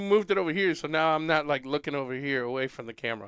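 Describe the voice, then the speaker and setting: A man talks at a very fast pace. His pitch sits fairly high. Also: very clean recording, silent background. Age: 50s. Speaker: podcast co-host, father. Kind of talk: casual chat.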